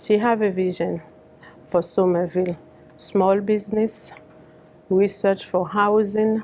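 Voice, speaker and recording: Noticeable background noise sits under a flat, monotone voice with a Haitian accent and very even loudness. The pace is fairly slow, with long, frequent pauses. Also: woman, medium pitch for a woman. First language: Haitian Creole. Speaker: community advocate. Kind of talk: public speech. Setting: fundraiser event.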